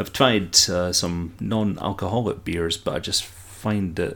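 A very deep, low male voice with a Scottish accent and fairly even intonation. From Scotland. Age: 30s. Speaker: amateur book podcaster and literature student. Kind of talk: casual solo podcast monologue. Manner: chatty, laughs often; halting, repeats words.

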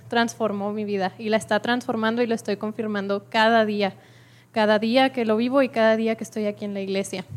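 At a moderate pace, a woman uses a normal speaking voice with a fairly high pitch and fairly even intonation. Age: 20s. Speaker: student giving church testimony. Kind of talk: testimony. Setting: church with congregation.

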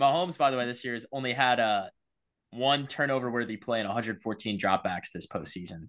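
A man talks at a fairly quick pace in a normal speaking voice, with medium pitch and ordinary pitch variation. The background is quiet. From South Carolina, Columbia. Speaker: sports podcast host. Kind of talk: casual chat. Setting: video call.

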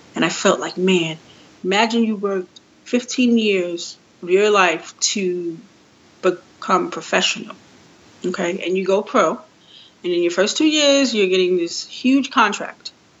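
A woman with a New York accent speaks with lively intonation. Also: medium pitch for a woman, fairly slow pace. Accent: New York City English. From New York City, Queens. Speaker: sports business and marketing professional. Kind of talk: interview.

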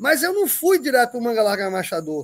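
A man speaks at an extremely high pitch and a very fast pace. His pitch swings very widely. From Northeast Brazil. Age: 60s. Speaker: horse breeder. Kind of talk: casual chat. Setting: video call.

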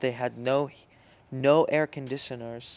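A man speaks with an Arabic accent at a moderate pace. His pitch is medium and his intonation fairly even. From Syria. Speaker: podcast co-host. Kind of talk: casual chat. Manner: halting.

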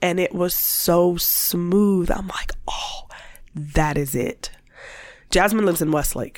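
A woman speaks at a very slow pace and fairly low pitch, with ordinary pitch variation and noticeable background noise. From US Midwest (Warren, Ohio). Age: 40s. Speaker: small business owner, former school staff. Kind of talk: casual interview. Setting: studio.

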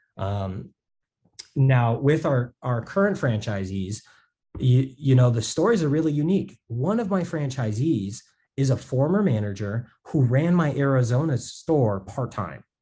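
A man with an American accent speaks at a fairly slow pace, with lively intonation at medium pitch. His dark, mellow voice is somewhat breathy over a quiet background. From Las Vegas, US. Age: 20s. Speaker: entrepreneur. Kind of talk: interview.

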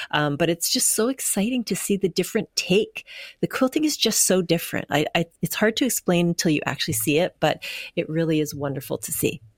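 A woman with a Canadian accent speaks in a normal speaking voice, fairly low in pitch with lively intonation, at a fairly quick pace. The recording is very clean with a silent background, and the sound is dry and close with no echo. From Canada, Winnipeg. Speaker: firefighter and art quilter. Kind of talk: interview.

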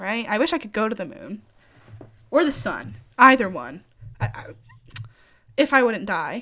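In an American accent, a woman speaks in a bright, sharp, animated tone with vocal fry, very wide pitch swings, big swings in loudness and long, frequent pauses, on a very clean recording with a silent background. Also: fairly high pitch for a woman, moderate pace. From Michigan. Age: 20s. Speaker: podcaster. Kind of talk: casual monologue.

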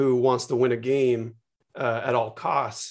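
Recorded very cleanly against a silent background, a man with a Californian accent speaks at a fairly slow pace. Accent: Californian American. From US West Coast, San Francisco Bay Area. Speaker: media executive and co-founder. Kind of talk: casual chat.

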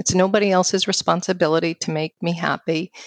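In an American accent, a woman with a fairly low pitch talks at a moderate pace, the sound dry and close with no echo against a quiet background. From New York City. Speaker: financial firm founder and speaker. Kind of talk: casual interview conversation.

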